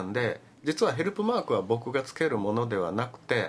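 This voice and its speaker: Fairly quick man's speech in a plain, everyday voice at medium pitch. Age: 60s. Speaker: visually impaired advocate. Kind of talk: radio interview.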